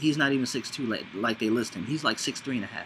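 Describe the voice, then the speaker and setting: Noticeable background noise behind a man talking. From Los Angeles. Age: 30s. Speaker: vlogger. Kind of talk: casual monologue. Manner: rambling, casual.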